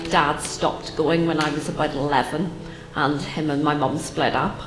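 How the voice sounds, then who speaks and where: A woman with a Northern Irish accent speaks at a moderate pace, with audible room echo and music playing in the background. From Northern Ireland, Belfast. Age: 30s. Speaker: churchgoer sharing testimony. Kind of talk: testimony. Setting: church with audience. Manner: hesitant, frequent ums.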